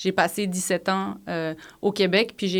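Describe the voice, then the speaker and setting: Recorded very cleanly against a silent background, a woman with a fairly low pitch speaks at a fairly slow pace. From Switzerland. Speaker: psychologist and professor. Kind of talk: podcast interview.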